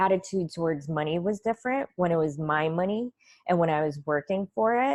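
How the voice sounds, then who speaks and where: A woman with a plain, everyday voice, fairly low in pitch, with lively intonation and a dry, close sound with no echo. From Russia, moved to US at nine. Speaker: financial coach. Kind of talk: interview.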